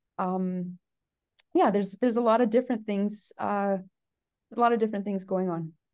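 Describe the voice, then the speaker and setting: A woman's medium-pitched voice with a Canadian accent, at a moderate pace with long, frequent pauses, against a quiet background. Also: fairly even intonation. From Canada, southwestern Ontario. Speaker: geneticist professor. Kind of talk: casual interview. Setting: conference venue. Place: office. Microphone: video call.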